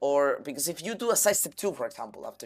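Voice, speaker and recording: With a Spanish accent, a man is talking. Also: very clean recording, silent background. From Canary Islands, Spain. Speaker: pro gamer and streamer. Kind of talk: live stream coaching feedback. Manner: halting, with fillers and restarts.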